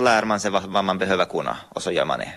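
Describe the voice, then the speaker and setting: Very fast in pace, a man is talking. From Ostrobothnia, Finland (Pedersöre, Purmo). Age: 30s. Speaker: artist and author. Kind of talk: interview.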